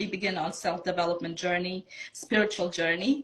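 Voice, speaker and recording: At a moderate pace, a woman speaks with a Bosnian accent, medium pitch and ordinary pitch variation. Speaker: self-love coach. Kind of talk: interview, personal story.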